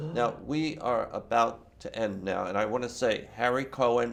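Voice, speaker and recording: A man speaks at a medium pitch with ordinary pitch variation. He has a plain, everyday voice and talks at a fairly slow pace. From California, Palo Alto area. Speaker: interviewer. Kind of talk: interview.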